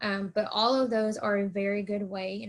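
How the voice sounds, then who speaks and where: In a Southern US accent, a woman speaks at a medium pitch, somewhat breathy, with fairly even intonation. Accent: US South. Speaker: college counselor. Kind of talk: presentation. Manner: fast.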